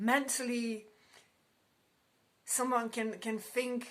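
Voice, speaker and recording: Speaking very slowly, a woman has a non-native accent. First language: not English. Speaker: tarot card reader. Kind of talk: tarot reading. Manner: halting.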